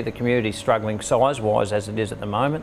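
A man speaks fairly quickly, his intonation fairly even, with light background noise behind him. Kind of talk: interview answer. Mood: concerned but measured. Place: street.

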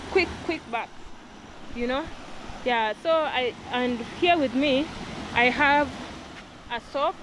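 A woman speaks with a high pitch in a dry sound with no echo. Noticeable background noise is present. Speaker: vlogger. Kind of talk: casual vlog chat. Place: forest. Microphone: phone near.

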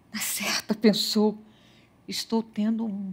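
The speech comes at a very slow pace. The voice is somewhat breathy. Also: woman. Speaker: storyteller. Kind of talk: fairy-tale narration, read aloud. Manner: measured, storytelling pace; dreamy, expressive. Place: studio. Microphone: headset.

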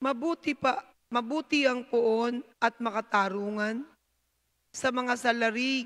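A high-pitched woman speaks at a very slow pace, her loudness very even and her intonation fairly even. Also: quiet background. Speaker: lector reading scripture; psalm reader at mass. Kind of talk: reading aloud scripture; liturgical reading. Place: church. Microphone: handheld.

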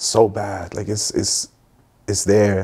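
A man with a Toronto accent and a dark, mellow tone. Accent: Toronto urban English. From Middle East, then Toronto from age 14. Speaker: musician; guest. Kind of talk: casual chat. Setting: playing video games during interview. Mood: calm, reflective. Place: home room. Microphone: lapel.

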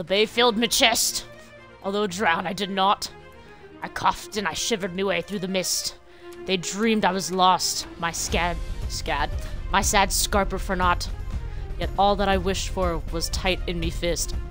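Clear music plays in the background behind a put-on character voice. The pace is moderate. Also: female-sounding voice, medium pitch for a woman. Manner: theatrical, storytelling.

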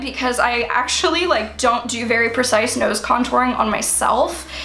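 Against light background noise and audible room echo, a woman with a high pitch speaks at a moderate pace. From US Mid-Atlantic, Baltimore; Maryland. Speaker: beauty YouTuber. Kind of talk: product haul video. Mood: enthusiastic.

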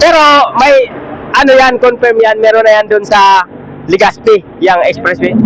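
Lively intonation runs through speech at a moderate pace, with noticeable background noise. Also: man. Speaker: motovlogger. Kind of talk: vlog narration.

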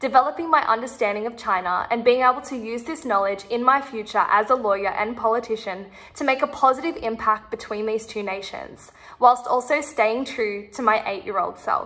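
A woman with an Australian accent, fairly high-pitched, at a fairly quick pace, ordinary pitch variation and big swings in loudness, over a quiet background. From Sydney, Australia. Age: 20s. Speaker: university student. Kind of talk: application video statement. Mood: confident, earnest, friendly. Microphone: phone near.

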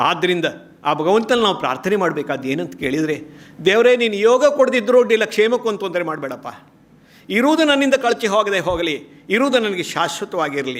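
Speaking in a high voice, a man makes very wide pitch swings. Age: 60s. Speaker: retired college principal, speaker. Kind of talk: public speech. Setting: stage with audience.

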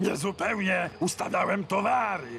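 With clear background noise behind him, a man puts on a high-pitched character voice at a moderate pace. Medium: fan dub. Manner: tired, glum.

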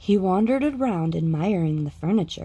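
A woman's fairly low voice, dark and mellow with a slightly husky edge and lively intonation

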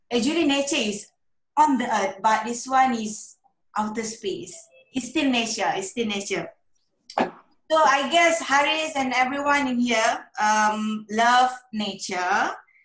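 A woman with a high voice speaks at a fairly slow pace, with audible room echo over a quiet background. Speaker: guest. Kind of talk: presentation talk. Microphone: video call.

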